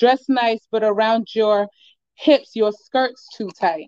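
Fairly high in pitch, a woman talks at a fairly slow pace with ordinary pitch variation. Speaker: poet. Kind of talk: spoken word poetry performance. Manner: excited, energetic.

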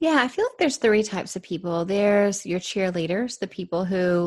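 A woman talks in an ordinary speaking voice at a moderate pace. The background is quiet. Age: 40s. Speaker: author and business coach. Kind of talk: interview.

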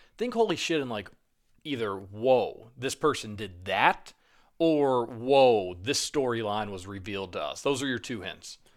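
A man speaks in a plain, everyday voice at a medium pitch and a fairly slow pace. His intonation is lively, and his loudness swings widely. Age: 20s. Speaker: podcast co-host. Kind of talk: casual chat.

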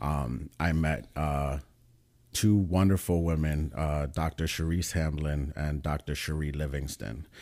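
A man's very deep, low, dark and mellow voice with a New York accent, on a very clean recording with a silent background. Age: 30s. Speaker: pre-med student. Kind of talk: casual chat.

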